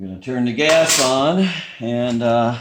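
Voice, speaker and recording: A man is mumbling. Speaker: small engine repairer. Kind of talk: casual talk to camera.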